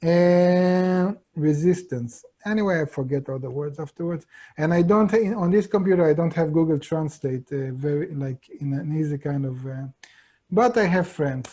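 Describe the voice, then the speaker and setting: In an Israeli accent, a man speaks at a moderate pace with a fairly high pitch and ordinary pitch variation. His tone is dark and mellow, and the background is quiet. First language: Hebrew. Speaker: Kabbalah teacher. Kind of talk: lecture. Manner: halting.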